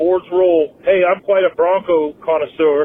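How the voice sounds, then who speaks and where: With an American accent, a man speaks at a fairly high pitch over noticeable background noise. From northern New Jersey. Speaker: caller. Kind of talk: voicemail message. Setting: phone call.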